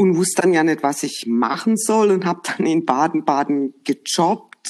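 Speaking at a moderate pace, a woman uses a very deep, low pitch with very wide pitch swings. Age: 50s. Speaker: HR professional. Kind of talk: casual chat. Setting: remote call.

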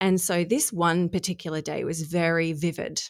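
Speaking at a fairly slow pace, a woman with an Australian accent has a fairly low pitch and fairly even intonation on a very clean recording with a silent background. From Australia, Adelaide. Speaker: human design coach. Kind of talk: podcast interview.

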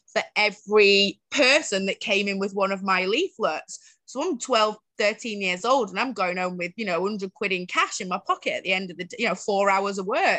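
Speaking with a Mancunian accent, a woman has a fairly high pitch and a bright, sharp tone at a moderate pace, captured dry and close with no echo over a quiet background. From Greater Manchester, Bury. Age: 30s. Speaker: social entrepreneur, homelessness advocate. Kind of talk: interview, personal life story.

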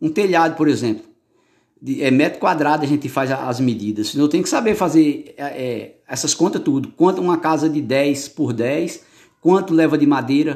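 A man's fairly high-pitched voice with ordinary pitch variation, at a moderate pace. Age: 40s. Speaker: former bricklayer's helper. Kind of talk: interview answers. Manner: halting, many repetitions.

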